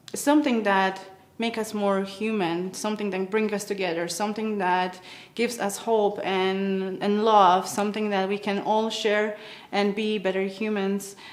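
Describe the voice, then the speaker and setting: A woman with a Polish accent, medium pitch, monotone, flat intonation and a moderate pace, with audible room echo. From Poland. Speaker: musician. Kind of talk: award acceptance speech. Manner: halting.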